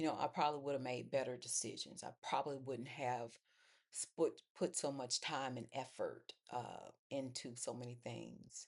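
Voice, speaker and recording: A woman with a very deep, low pitch sounds strained, speaking at a moderate pace with fairly even intonation. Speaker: faith vlogger. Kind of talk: personal testimony monologue. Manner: low, restrained pitch; halting with fillers.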